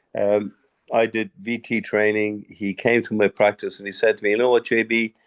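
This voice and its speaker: In an Irish accent, a man speaks at a moderate pace and medium pitch with monotone, flat intonation, the sound dry and close with no echo against a quiet background. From Ireland. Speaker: dentist. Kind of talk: webinar discussion.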